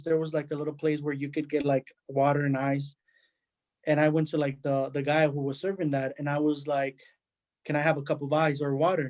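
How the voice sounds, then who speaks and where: In a Spanish accent, a man talks at a moderate pace and fairly high pitch with monotone, flat intonation. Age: 20s. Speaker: immigrant panelist. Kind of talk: testimony. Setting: webinar.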